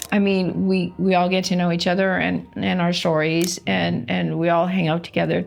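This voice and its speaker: A woman at a moderate pace, with very even loudness and hardly any pauses, over noticeable background noise. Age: 60s. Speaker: cancer patient. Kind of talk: testimony. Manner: halting.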